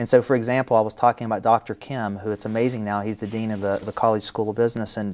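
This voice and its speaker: A man with a West Virginia accent talks at a very fast pace in a medium pitch, his intonation monotone and flat. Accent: West Virginia accent, kept. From West Virginia (Wayne County). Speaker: company CEO. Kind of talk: interview.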